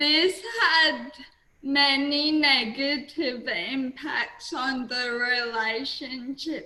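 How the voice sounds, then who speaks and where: At a very slow pace, a woman speaks with an Australian accent, her pitch high with ordinary variation. Audible room echo and noticeable background noise are present. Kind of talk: webinar presentation.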